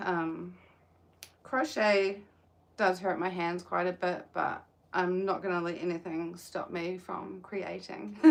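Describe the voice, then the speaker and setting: Very slow pace from a woman with a fairly low pitch and ordinary pitch variation. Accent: New Zealand. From New Zealand. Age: 20s. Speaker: livestreamer crocheting, caregiver. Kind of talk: casual live stream chat. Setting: outdoors in the sun.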